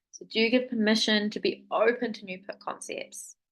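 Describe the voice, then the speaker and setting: With fairly even intonation, a woman speaks at a fairly slow pace and a fairly high pitch. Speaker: business coach. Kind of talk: live webinar masterclass. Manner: high energy.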